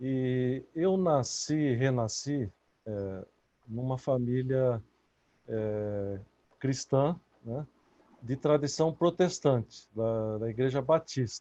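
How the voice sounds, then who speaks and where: A man's dark, mellow voice at medium pitch, very slow with long, frequent pauses and ordinary pitch variation. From Brazil. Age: 60s. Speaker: author. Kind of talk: interview. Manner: halting.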